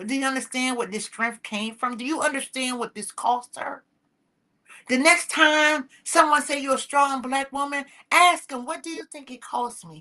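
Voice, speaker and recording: A woman speaks in a raised, projected voice with a high pitch and a bright, sharp tone. Her pace is moderate, her pitch variation ordinary, and her loudness swings widely. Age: 60s. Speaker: talk show host. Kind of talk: motivational talk. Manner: impassioned.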